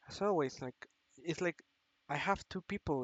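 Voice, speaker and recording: A man is speaking. He has a non-native accent. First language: not English. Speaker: vlogger. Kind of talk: personal confession monologue. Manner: halting.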